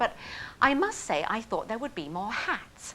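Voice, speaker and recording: With a British accent, a woman talks at a fairly high pitch, her voice making very wide pitch swings. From England. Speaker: storyteller. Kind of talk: personal story performance. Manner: humorous.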